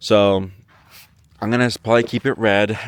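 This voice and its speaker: With a dry, close sound and no echo, a man speaks at medium pitch and a moderate pace. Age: 30s. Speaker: truck owner vlogger. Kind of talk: casual vlog walkaround. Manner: halting, many fillers.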